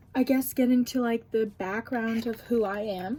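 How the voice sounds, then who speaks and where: A woman's fairly slow pace and ordinary pitch variation, with music in the background. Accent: American. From US Midwest, Cleveland area, Ohio. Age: 20s. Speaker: vlogger, audiology student. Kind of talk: casual makeup Q&A vlog. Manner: casual, filler-heavy.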